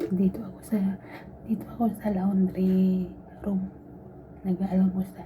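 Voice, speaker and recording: Soft-spoken and monotone, a woman talks at a fairly slow pace and a medium pitch with flat intonation. Long, frequent pauses and noticeable background noise run through the clip. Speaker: vlogger, overseas domestic worker. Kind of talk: casual vlog talk. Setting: laundry room. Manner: soft-spoken, quiet.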